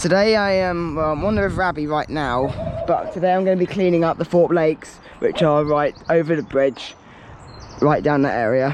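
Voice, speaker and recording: With a southern English accent, a man talks at a fairly quick pace in a high pitch with ordinary pitch variation, against noticeable background noise. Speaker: litter-picking vlogger. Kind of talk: casual vlog narration. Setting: outdoors. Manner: loud.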